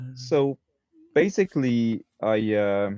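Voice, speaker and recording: Here a man speaks with a Quebec accent. His voice sits fairly low in pitch. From Quebec, Montreal. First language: French. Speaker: swordsmith. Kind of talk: interview conversation.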